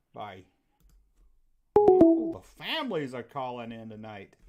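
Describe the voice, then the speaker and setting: This is a man speaking with a Southern US accent. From US South. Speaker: call-in show host. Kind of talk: live call-in show chat. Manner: casual, folksy.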